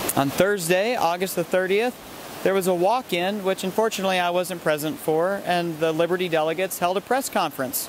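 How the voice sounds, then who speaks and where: Noticeable background noise runs under the recording. The delivery is fairly quick, with ordinary pitch variation. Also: man, high pitch for a man. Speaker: political activist and delegate. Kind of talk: vlog recap.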